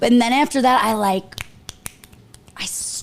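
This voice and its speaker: The speech has ordinary pitch variation and a fairly slow pace, with noticeable background noise behind it. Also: woman. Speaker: social media influencer doing makeup. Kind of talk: casual chat on livestream. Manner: loud.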